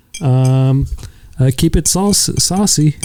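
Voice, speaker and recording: This soft-spoken man has a dark, mellow tone and a fairly high pitch, talking at a fairly slow pace with ordinary pitch variation. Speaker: podcast co-host. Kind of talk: casual chat.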